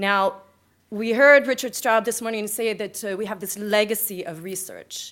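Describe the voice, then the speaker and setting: In an American accent, a woman talks at a moderate pace and medium pitch with ordinary pitch variation. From California, US (Bay Area). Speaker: conference speaker, EU media project manager. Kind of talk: conference presentation. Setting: conference stage with audience. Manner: energetic, punchy.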